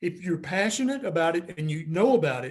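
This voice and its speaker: Very wide pitch swings and a moderate pace, with an American accent. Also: man. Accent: noticeable regional accent, own remark. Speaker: physician and YouTube health educator. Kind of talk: interview. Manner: animated.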